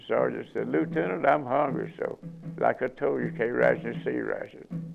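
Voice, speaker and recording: Music plays in the background as a man with a Southern US accent talks at a fairly slow pace. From Alabama. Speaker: Korean War veteran. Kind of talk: interview answer, war storytelling.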